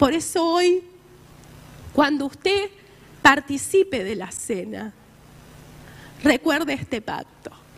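Speaking in a Rioplatense accent, a woman with a high pitch moves very slowly through long, frequent pauses, her pitch swinging very widely and her loudness rising and falling sharply. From Argentina. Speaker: preacher. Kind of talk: sermon. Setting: church. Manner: earnest, exhortative preaching.

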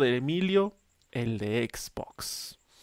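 On a very clean recording with a silent background, a man with a Mexican accent speaks with very wide pitch swings. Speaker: podcast co-host. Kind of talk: casual chat.

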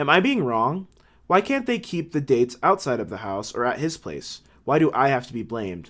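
On a very clean recording with a silent background, a man talks at a fairly quick pace in a fairly high voice with very wide pitch swings. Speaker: advice podcast host. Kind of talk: casual chat. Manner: joking, casual.

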